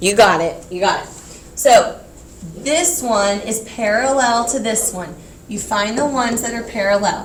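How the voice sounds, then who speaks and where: A woman with a fairly high pitch talks fairly slowly, with ordinary pitch variation and big swings in loudness, amid audible room echo and noticeable background noise. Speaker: teacher. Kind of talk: classroom lecture.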